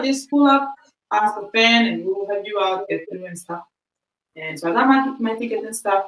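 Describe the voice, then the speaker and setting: An animated tone at a moderate pace, with lively intonation. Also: woman. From Equatorial Guinea heritage, raised in Spain. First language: Spanish. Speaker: podcast co-host. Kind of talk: casual chat.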